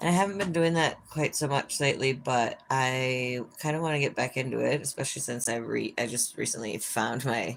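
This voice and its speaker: This woman has a very deep, low pitch and an American accent, speaking at a moderate pace with ordinary pitch variation. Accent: Minnesotan, sometimes thicker. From Minnesota. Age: 40s. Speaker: livestreamer. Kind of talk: casual chat. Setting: live stream by an open window.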